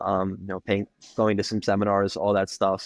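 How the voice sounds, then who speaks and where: A man's fairly low voice at a fairly quick pace, monotone and flat in intonation, with a dry, close sound and no echo. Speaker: personal trainer and gym owner. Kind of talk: casual interview chat. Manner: fast. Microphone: connection cutting in and out.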